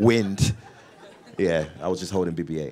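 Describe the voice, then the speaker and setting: This man's pitch varies in an ordinary way. He talks fairly quickly. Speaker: actor. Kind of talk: casual live Q&A interview answer to audience. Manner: energetic, jokey, animated.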